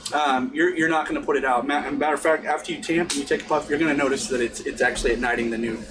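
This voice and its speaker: Lively intonation and a very fast pace come through noticeable background noise. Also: man. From US South. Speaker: pipe smoking instructor. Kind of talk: tutorial. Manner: halting.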